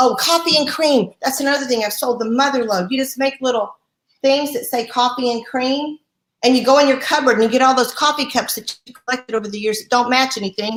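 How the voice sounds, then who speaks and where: A woman with a high pitch speaks in an animated tone at a fairly quick pace. Her loudness swings widely. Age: 60s. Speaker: sales director. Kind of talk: motivational talk.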